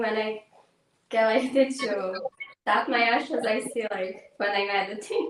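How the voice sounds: With fairly even intonation, the delivery unfolds at a fairly slow pace. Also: woman.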